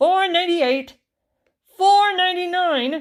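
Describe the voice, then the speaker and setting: Squeaky and put on as a character voice, the speech moves at a fairly slow pace. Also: woman, extremely high pitch for a woman. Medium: read story. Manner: precise, numerical.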